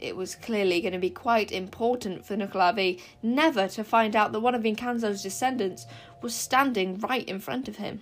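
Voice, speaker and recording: A woman speaks in a plain, everyday voice at a medium pitch, with ordinary pitch variation and a moderate pace. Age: young. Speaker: podcaster reading books aloud. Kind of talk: reading aloud.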